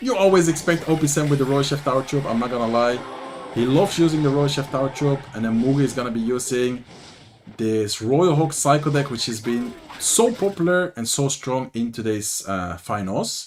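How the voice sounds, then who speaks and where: A man's fairly high voice at a moderate pace, lively in intonation, over noticeable background noise. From Netherlands. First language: Dutch. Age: 20s. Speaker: gaming streamer and commentator. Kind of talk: live commentary. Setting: livestream. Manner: casual, animated.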